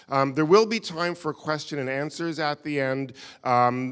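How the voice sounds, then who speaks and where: With a New York accent, a man speaks at a moderate pace with ordinary pitch variation. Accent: American, New York. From US, New York. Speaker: visiting lecturer. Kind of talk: lecture. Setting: stage with audience. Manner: halting.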